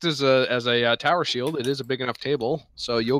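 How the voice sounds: The speaker reads in a natural voice.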